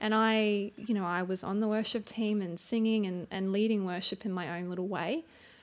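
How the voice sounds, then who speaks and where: A woman with an Australian accent at a moderate pace, fairly even intonation, very clean recording and silent background. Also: medium pitch for a woman. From Townsville, Queensland, Australia. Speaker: churchgoer and stay-at-home mum. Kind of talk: interview about personal testimony.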